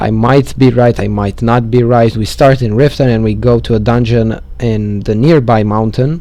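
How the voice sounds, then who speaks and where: Noticeable background noise runs behind a man of medium pitch. He talks at a moderate pace with fairly even intonation. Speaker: gaming tutorial maker. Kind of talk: game walkthrough commentary. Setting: low-quality microphone. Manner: casual, hesitant.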